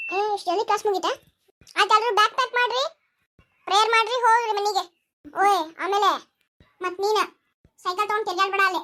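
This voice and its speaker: At a moderate pace, a woman uses a squeaky, put-on character voice at an extremely high pitch with fairly even intonation. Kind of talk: comic skit acting. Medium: comedy sketch. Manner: scolding, bossy, teasing.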